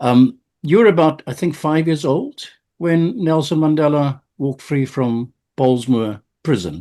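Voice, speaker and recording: A man's fairly high-pitched voice with a dark, mellow tone, lively intonation and a fairly slow pace. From South Africa. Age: 60s. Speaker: podcast host. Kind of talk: interview conversation.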